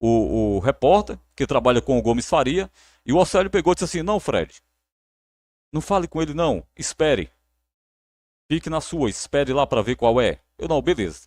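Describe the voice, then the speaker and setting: A man with a fairly high pitch talks at a moderate pace, with lively intonation and vocal fry. His long, frequent pauses come through a dry, close sound with no echo on a very clean recording with a silent background. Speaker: sports narrator. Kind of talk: live stream chat. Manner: repetitive, halting.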